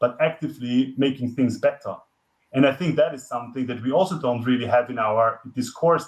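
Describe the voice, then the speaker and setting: A man with a non-native accent at a moderate pace, fairly even in intonation. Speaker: climate expert, guest lecturer. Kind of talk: lecture. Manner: halting, many fillers and restarts.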